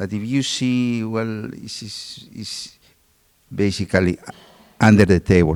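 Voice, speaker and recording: A man with a Peruvian accent at a fairly low pitch and fairly slow pace, with ordinary pitch variation, big swings in loudness and long, frequent pauses. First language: Spanish. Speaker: doctor. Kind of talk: panel discussion.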